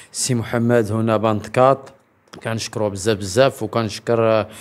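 With monotone, flat intonation, a man speaks at a fairly slow pace and a medium pitch. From Morocco. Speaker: human rights association member; interviewee. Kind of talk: public statement. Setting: event in Agadir. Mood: earnest, complaining about lack of support. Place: home room. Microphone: handheld.

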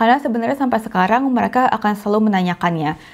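A woman's voice with ordinary pitch variation over a quiet background. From Indonesia. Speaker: YouTuber, expat vlogger. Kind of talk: casual tutorial vlog. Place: home room. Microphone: lapel.

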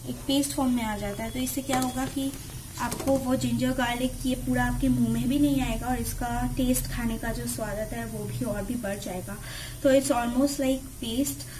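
A woman with a high voice speaks at a moderate pace with ordinary pitch variation over noticeable background noise. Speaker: home cook vlogger. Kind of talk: casual cooking tutorial. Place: kitchen. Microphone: phone near.

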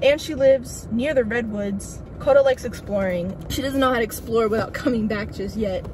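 A woman at a fairly quick pace against noticeable background noise. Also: dry sound with no echo. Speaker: vlogger. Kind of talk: casual vlog chat. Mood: relaxed, chatty. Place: car. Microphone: phone near.

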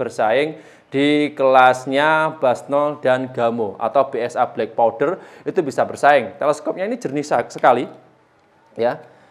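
This is an ordinary speaking voice. A man talks at a fairly high pitch. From East Java, Indonesia. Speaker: airgun seller and channel host. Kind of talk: street-seller style sales pitch, promoting a freebie package. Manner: persuasive, upbeat, urging buyers to hurry; chatty, relaxed, slightly stumbling with fillers.

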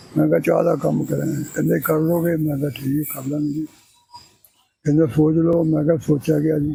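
A man talks in a fairly high pitch. His intonation is monotone and flat. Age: 80s+. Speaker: tea seller. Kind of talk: interview answer.

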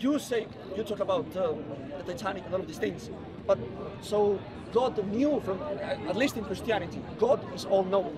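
Amid noticeable background noise, a man speaks at a high pitch with ordinary pitch variation and long, frequent pauses. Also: moderate pace, dry sound with no echo. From Colombia. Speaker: atheist member of the public; questioner. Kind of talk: street debate. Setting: outdoors in a public park. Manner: halting. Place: open country. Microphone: camera far.

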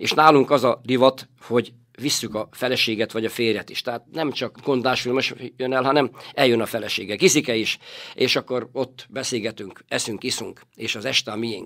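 Fairly even intonation from a man, moderately paced. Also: medium pitch for a man. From northern Hungary, Borsod rural village. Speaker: bookstore owner and company director. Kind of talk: interview. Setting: studio. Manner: halting, with frequent repetitions.

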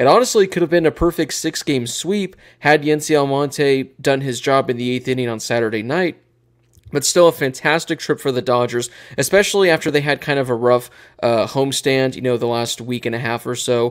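The pace is fairly quick, with ordinary pitch variation. The background is quiet. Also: man. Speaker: podcast host. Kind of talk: sports podcast commentary. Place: home room. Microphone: studio mic.

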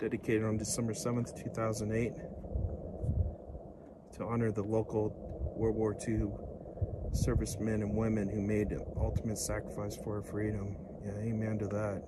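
A man speaks over loud background noise, the sound dry with no echo. He leaves long, frequent pauses. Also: moderate pace. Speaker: travel vlogger. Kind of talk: casual vlog commentary. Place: open country.

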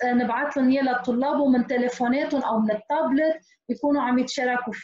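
With audible room echo, a woman speaks at a high pitch. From Lebanon. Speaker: teacher. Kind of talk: webinar tutorial. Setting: video call. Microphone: video call.

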